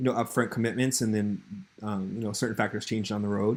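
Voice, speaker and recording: The man's speech is very fast. His delivery stays monotone and flat. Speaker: freelancer pitching a project. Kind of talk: recorded business proposal message. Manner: halting, many fillers; casual.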